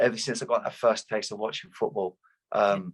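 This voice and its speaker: A man with a southeast English accent at a very fast pace, dry and close with no echo. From Luton, southeast England. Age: 30s. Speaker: retired footballer. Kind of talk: interview.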